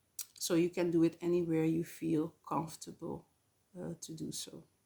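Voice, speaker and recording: A woman with a non-native accent talks at a fairly slow pace in a fairly low voice. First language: not English. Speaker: spiritual channel host. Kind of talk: spiritual talk to camera. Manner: hesitant, many fillers.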